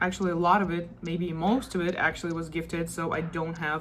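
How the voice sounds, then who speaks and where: A woman speaks with a non-native accent at a fairly low pitch. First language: not English. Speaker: crochet vlogger. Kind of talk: casual vlog show-and-tell. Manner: casual, chatty.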